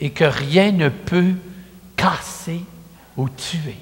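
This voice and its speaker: The speaker is a man with a high pitch. He talks very slowly. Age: 70s. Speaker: priest. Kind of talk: sermon. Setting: church. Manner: conversational.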